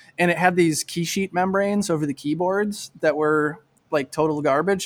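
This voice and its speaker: A man talks with an American accent at a fairly quick pace. He has an unremarkable speaking voice with ordinary pitch variation. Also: dry, close sound with no echo, very clean recording, silent background. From Michigan. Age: 30s. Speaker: bicycle frame builder. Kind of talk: casual chat.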